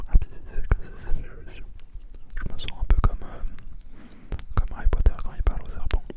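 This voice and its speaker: Whispering at a moderate pace, with long, frequent pauses, over noticeable background noise. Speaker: ASMR creator. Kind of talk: ASMR whisper talk to camera. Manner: whispered.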